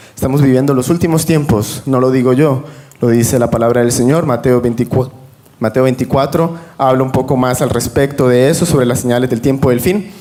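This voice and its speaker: A man talks at a fairly quick pace with very even loudness. His pitch is medium and his intonation fairly even, with noticeable background noise. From Venezuela. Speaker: religious panel guest. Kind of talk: religious panel discussion.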